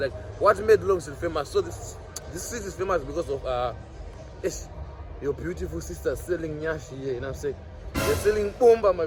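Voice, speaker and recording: There is noticeable background noise throughout. Through it, a man talks at a moderate pace. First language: Shona. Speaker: vlogger. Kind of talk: walking street vlog. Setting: outdoors on a city street. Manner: casual, halting with many fillers.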